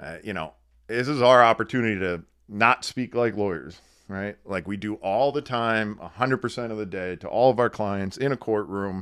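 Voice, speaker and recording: With an American accent and a plain, everyday voice, a man talks at a moderate pace and a fairly low pitch with ordinary pitch variation, recorded very cleanly against a silent background. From northeastern Pennsylvania. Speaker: attorney. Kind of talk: casual chat.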